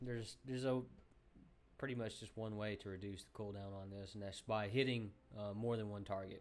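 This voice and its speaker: A man with a Southern US accent, medium pitch, a fairly quick pace and ordinary pitch variation. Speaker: gaming youtuber. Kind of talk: game tutorial. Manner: casual, many filler ums.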